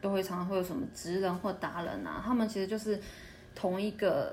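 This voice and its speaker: Pitched in the medium range, this woman talks in a somewhat breathy voice. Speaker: retail and service worker in Japan. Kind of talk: casual interview chat.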